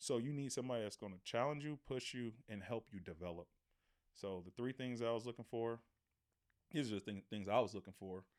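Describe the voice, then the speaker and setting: Here is a man with an ordinary speaking voice. He has an American accent and a medium pitch. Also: ordinary pitch variation, fairly quick pace. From Oakland, California, US. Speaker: former pro football player. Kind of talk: casual interview.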